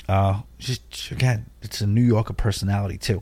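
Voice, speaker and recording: This is a very clean recording with a silent background. A man's somewhat breathy voice sits at medium pitch with ordinary pitch variation. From Long Island, New York. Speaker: cruise podcast host. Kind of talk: casual monologue.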